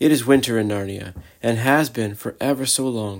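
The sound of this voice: Pitch moves in an ordinary way here. The delivery is an unforced reading voice.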